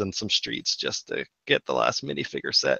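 Bright and sharp in tone, a man speaks at a moderate pace. The background is quiet, and the sound is dry with no echo. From Canada. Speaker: podcast co-host, LEGO collector; podcast guest. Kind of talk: casual chat. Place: home room. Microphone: video call.

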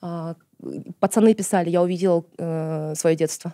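A woman with a Kazakh accent speaks slowly in a fairly low, dark, mellow voice. Her intonation is flat and monotone, and the sound is dry and close with no echo. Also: very clean recording, silent background. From Kazakhstan, outside Almaty. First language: Kazakh (speaking Russian). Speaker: journalist, activist and screenwriter. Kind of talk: casual interview chat.

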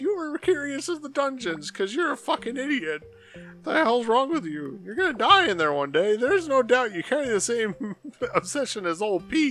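Someone uses a put-on character voice, fairly high in pitch with very wide pitch swings. The pace is moderate, and faint music plays in the background. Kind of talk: crude, profane. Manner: cursing, scolding.

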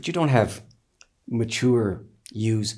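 The background is quiet as a man's dark, mellow tone moves with ordinary pitch variation. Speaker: interviewee, teacher. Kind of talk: interview answer, storytelling. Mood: reflective, wry, amused. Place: home room.

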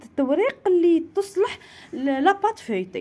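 Her tone is dark and mellow. The woman's pitch swings very widely. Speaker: cooking and home YouTuber. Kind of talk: home vlog and cooking tutorial; product promotion. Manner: animated.

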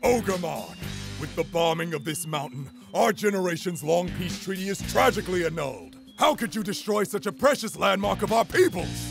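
With clear music in the background, a man does a put-on character voice in a high pitch, speaking fairly quickly in a solemn, dramatic tone. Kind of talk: overwrought heroic declamation. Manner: solemn, dramatic, shouting battle cries.

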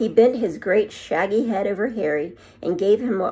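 Someone reads aloud, using a natural voice.

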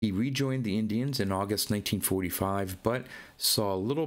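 A passage is read aloud in a natural voice whose pitch varies in an ordinary way.

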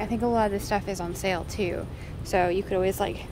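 Music plays in the background while a woman speaks with ordinary pitch variation. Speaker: vlogger. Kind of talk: casual vlog chat. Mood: cheerful, enthusiastic. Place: shop. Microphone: phone near.

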